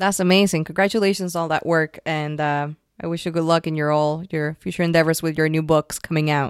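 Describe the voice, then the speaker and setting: Very fast and fairly even in intonation, a woman with a very deep, low pitch comes through dry and close with no echo on a very clean recording with a silent background. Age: 30s. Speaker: podcast host. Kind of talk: interview. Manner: halting, many fillers.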